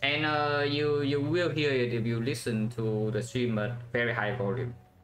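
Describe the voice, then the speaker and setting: Amid noticeable background noise and audible room echo, a man talks at a moderate pace with fairly even intonation and very even loudness. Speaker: game streamer. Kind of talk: live gameplay commentary. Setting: live stream.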